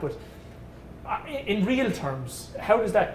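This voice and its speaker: There is audible room echo around this voice. It belongs to a man with an Irish accent. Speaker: event host and interviewer. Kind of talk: fundraiser hosting and interview.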